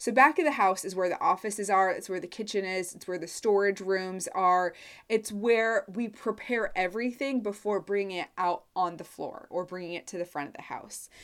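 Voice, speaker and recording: In a Midwestern US accent, a woman talks at a moderate pace with ordinary pitch variation. Her loudness swings widely, and the recording is very clean with a silent background. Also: medium pitch for a woman, hardly any pauses. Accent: US Midwest. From Nebraska. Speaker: course launch consultant. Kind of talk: solo podcast monologue.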